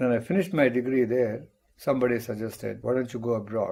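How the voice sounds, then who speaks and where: Speaking fairly quickly in an Indian accent, a man has a medium-pitched voice with a dark, mellow tone. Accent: Indian English (Tamil). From India, Tamil Nadu (rural). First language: Tamil. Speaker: mathematics professor. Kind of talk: interview, life story.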